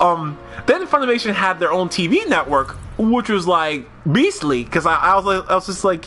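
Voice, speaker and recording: With music in the background, a man uses a raised, projected voice pitched high, his tone animated and his intonation lively. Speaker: video game streamer. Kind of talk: casual live stream chat. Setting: live stream. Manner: fast.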